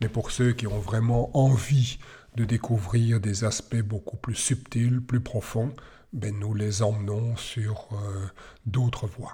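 A man with a dark, mellow tone and a medium pitch speaks very slowly in a monotone, flat intonation, somewhat breathy, in a very clean recording with a silent background. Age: 60s. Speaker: tai chi teacher. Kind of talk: podcast monologue. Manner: hesitant with fillers.

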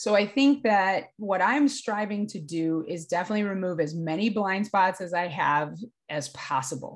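In a plain, everyday voice, a woman speaks at a medium pitch and moderate pace with lively intonation against a quiet background. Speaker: sports mental performance coach. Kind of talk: casual interview conversation.

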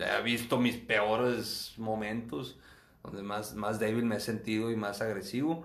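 Fairly even intonation and a fairly slow pace come through with audible room echo. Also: man, medium pitch for a man. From northern Mexico, Acuña, Coahuila. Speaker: physician. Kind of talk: interview testimony. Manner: halting, frequent repetitions.

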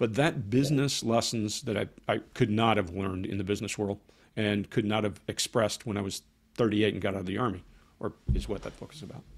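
Talking at a very fast pace, a man uses a fairly low pitch with an American accent. His pitch varies in an ordinary way, while his loudness swings widely. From Georgia, US South (Columbus area). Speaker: former army interrogator, body language author. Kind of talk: interview.

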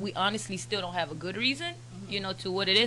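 With an American accent, a woman speaks as noticeable background noise runs behind her. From Turks and Caicos, then South Florida (Broward County). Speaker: media platform founder. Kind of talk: casual chat.

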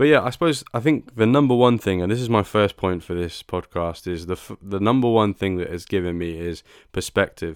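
Speaking with a British accent, a man talks at a fairly quick pace with hardly any pauses. His fairly low voice has lively intonation on a very clean recording with a silent background. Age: 20s. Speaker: podcast host. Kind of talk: solo podcast monologue.

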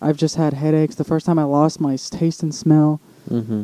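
Fairly high in pitch yet dark and mellow in tone, a man's voice moves at a moderate pace with fairly even intonation. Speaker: podcast co-host. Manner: casual, rambling.

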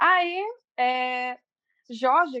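A woman's raised, projected voice, high-pitched with a bright, sharp tone, at a very slow pace. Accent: Paraíba. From Brazilian Northeast, Cajazeiras, Paraíba. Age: 30s. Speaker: makeup and self-esteem influencer. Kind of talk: casual chat.

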